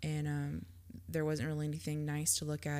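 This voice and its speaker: A woman with a very deep, low pitch talks at a moderate pace. Her tone is dark and mellow, and her intonation lively. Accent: Southern US. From Georgia, US. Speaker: podcast co-host. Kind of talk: casual chat.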